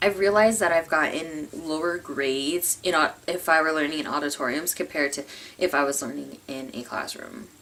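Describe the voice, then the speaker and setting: A woman with a very deep, low pitch speaks in a bright, sharp tone. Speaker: community college student. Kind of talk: casual talk to camera. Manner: stuttering, uses filler words; fast, thoughts outrun speech.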